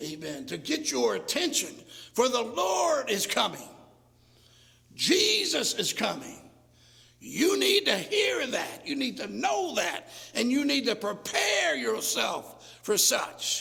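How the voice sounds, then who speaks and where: There is audible room echo and noticeable background noise as a man speaks at a very slow pace. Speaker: pastor. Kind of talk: sermon. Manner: loud; fervent crying out.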